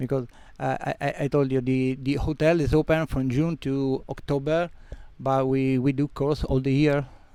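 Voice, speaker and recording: A man with a Sicilian accent speaks at a moderate pace in a fairly high pitch, with a dark, mellow tone, monotone, flat intonation and very even loudness. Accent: Italian (Sicilian). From Sicily, Italy (Catania). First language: Italian. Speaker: freediving instructor and centre owner. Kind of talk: interview. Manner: halting.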